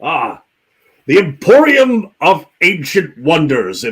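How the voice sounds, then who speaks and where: A man does a put-on character voice, raised and projected, with a high pitch. He talks very slowly, and his pitch swings very widely. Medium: actual play. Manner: theatrical, welcoming.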